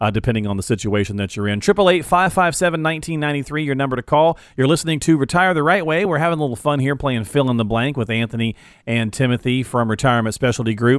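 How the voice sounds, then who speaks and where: A man talks at a very fast pace in a medium pitch. His tone is upbeat, with ordinary pitch variation. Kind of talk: radio pitchman call-to-action. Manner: brisk, upbeat, salesy; repeats the phone number in a sing-song patter.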